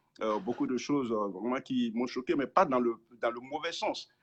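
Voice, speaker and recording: The man's pitch is medium, his pitch variation ordinary, and his pace moderate. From francophone Africa. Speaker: pastor. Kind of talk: interview. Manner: halting.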